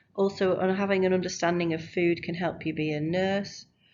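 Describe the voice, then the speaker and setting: A woman speaks with a Lancashire accent in a fairly low pitch. Her pace is fairly quick. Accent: Rochdale. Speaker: school teacher. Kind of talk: recorded subject presentation to pupils. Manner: animated.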